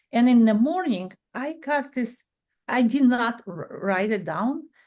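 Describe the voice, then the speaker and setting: Speaking with a non-native accent, a woman uses a high pitch, lively intonation, and a fairly slow pace. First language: not English. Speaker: podcast guest, bereaved parent. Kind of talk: casual chat. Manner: halting.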